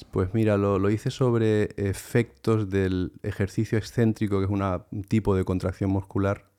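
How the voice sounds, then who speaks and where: Monotone and flat, a man speaks at a moderate pace in a fairly low voice. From Canary Islands, after childhood in Palma de Mallorca. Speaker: sports science professor and fitness coach. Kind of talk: interview.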